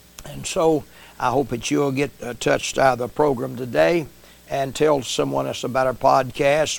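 With an American accent, a man talks at a moderate pace in a fairly high voice, an unremarkable speaking voice. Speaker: preacher and podcast host. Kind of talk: sermon intro and closing.

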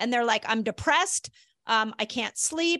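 A woman with a bright, sharp tone and ordinary pitch variation uses a raised, projected voice, recorded dry and close with no echo against a quiet background. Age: 50s. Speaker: doctor and health author. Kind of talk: casual interview.

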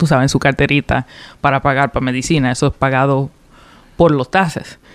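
A woman's very deep, low voice, fairly quick in pace, with fairly even intonation and a dry, close sound lacking echo. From Puerto Rico, of Dominican parents, raised in Rhode Island from 2003. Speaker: political candidate. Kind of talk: radio interview. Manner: hesitant, frequent fillers and code-switching.

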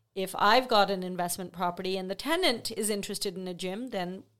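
A plain, everyday voice of a woman, medium in pitch, with ordinary pitch variation and a fairly quick pace. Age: 50s. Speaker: real estate sales representative. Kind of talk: casual chat.

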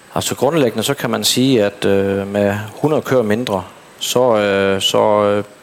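A man's fairly low voice with fairly even intonation over noticeable background noise. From Southern Jutland, Denmark. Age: 30s. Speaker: dairy farmer. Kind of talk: interview on stage. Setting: stage at an event. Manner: halting.

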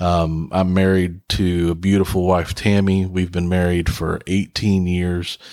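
In a very clean recording with a silent background, a man speaks with an American accent. His pitch is very deep and low, his pace fairly slow, and his intonation monotone and flat. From West Virginia. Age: 40s. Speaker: podcast host and pastor. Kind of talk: casual monologue. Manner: hesitant with many fillers.

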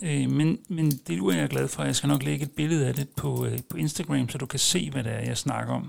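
Talking at a fairly quick pace, a man barely pauses at all. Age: 40s. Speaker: podcast host. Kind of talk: casual monologue. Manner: hesitant, many filler sounds.

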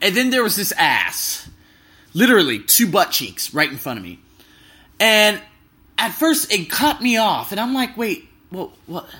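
A man with an American accent uses a raised, projected voice at a high pitch, his animated tone and lively intonation marked by big swings in loudness, long, frequent pauses and a fairly slow pace. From US, Las Vegas. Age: 20s. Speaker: travel podcaster. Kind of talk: casual monologue. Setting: hotel room.

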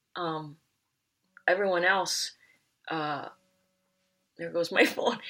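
The speaker is a woman with a bright, sharp tone. She keeps to a moderate speed. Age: 50s. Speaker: recovering hoarder. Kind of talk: casual chat. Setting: studio.

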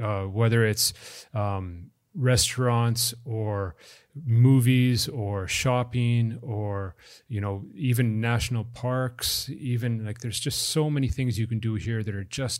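A man with a normal speaking voice, medium in pitch, fairly slow and fairly even in intonation, on a very clean recording with a silent background. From Canada. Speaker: sports venue manager. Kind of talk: interview.

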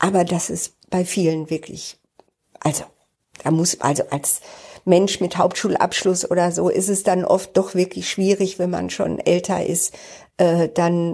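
A woman speaks fairly slowly with a fairly low pitch, a dark, mellow tone, and monotone, flat intonation. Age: 60s. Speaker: podcaster and job coach. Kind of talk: personal monologue. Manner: casual, with many fillers.

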